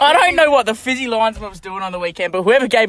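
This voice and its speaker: Very wide pitch swings from a man at a very fast pace. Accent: Australian. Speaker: football club podcast co-host. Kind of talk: casual podcast chat.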